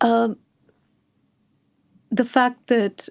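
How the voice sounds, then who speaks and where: A soft-spoken voice with a dark, mellow tone and ordinary pitch variation. The recording is very clean with a silent background and a dry, close sound with no echo. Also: woman. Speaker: founder of wealth advisory firm. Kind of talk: interview. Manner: deliberate.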